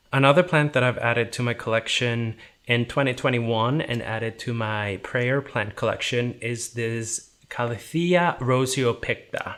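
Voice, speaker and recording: Speaking with an Icelandic accent at a moderate pace, a man with a medium pitch and ordinary pitch variation leaves hardly any pauses. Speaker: houseplant YouTuber. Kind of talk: casual vlog tutorial.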